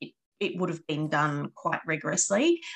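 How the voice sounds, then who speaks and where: With a normal speaking voice, a woman talks at a moderate pace and a fairly low pitch. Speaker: podcast host. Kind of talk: casual chat.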